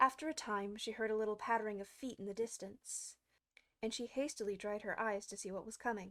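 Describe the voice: In a quiet setting, someone does plain reading aloud with fairly even intonation.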